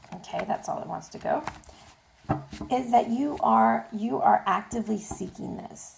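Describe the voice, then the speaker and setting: A woman speaks over noticeable background noise. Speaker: tarot reader. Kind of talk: tarot reading to camera. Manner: casual, chatty.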